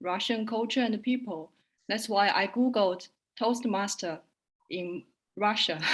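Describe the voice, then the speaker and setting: A woman with a Chinese accent speaks at a fairly slow pace on a very clean recording with a silent background. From China. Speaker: translator and interpreter. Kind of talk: self-introduction.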